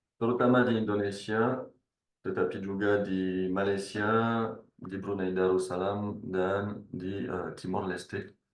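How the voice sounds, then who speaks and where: A man talks at a fairly slow pace in a fairly low pitch. His intonation is monotone and flat, with audible room echo. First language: not Indonesian (speaking Indonesian). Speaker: researcher. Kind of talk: webinar presentation. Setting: online webinar.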